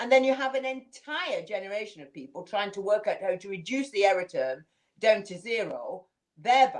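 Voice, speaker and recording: A woman with a Manchester accent at a medium pitch and a moderate pace. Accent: northern English (Manchester area). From northern England, Manchester area. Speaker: community leader. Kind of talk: interview. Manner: reflective, conversational.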